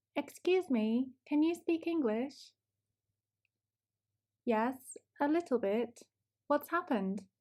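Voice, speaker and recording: A woman with a British accent, high-pitched yet dark and mellow in tone, very slow with long, frequent pauses, lively intonation, very even loudness, on a very clean recording with a silent background. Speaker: English teacher. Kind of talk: language lesson shadowing dialogue. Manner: slow, clear.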